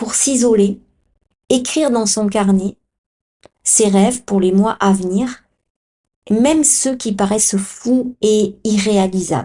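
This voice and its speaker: A woman speaks very slowly in a fairly high pitch with a dark, mellow tone. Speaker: podcast host and Human Design coach. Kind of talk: podcast monologue.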